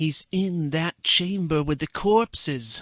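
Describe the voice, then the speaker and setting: Putting on a character voice, a man speaks fairly slowly at a fairly high pitch with ordinary pitch variation. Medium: read story.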